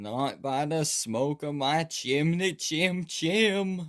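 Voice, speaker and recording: Using a put-on character voice, a man speaks very slowly at a fairly high pitch. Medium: read story.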